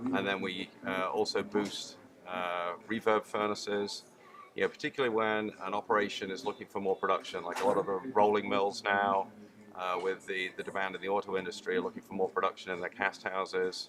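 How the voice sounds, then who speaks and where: Amid noticeable background noise, a man speaks fairly quickly at a fairly low pitch in a monotone, flat intonation. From UK. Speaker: chemical engineer, industrial gas technology manager. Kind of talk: trade show interview. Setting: trade show.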